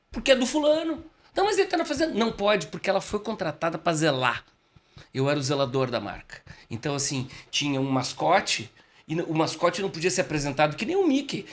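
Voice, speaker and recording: A man talks at a fairly quick pace in a high, animated voice. His pitch swings very widely. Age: 60s. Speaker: communication expert and speaker. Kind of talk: casual podcast interview.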